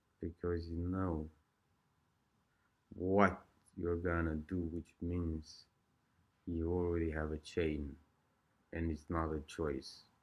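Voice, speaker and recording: A man with an Eastern European accent, very deep and low in pitch, at a very slow pace with monotone, flat intonation and long, frequent pauses. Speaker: vlogger sharing addiction recovery experiences. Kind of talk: casual monologue.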